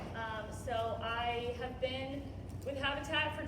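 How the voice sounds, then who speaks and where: A woman speaks with audible room echo. Noticeable background noise is also present. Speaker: nonprofit community relations executive. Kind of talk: presentation to church group. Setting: church breakfast gathering, no microphone. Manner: loud; casual, conversational. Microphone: speaking without a microphone.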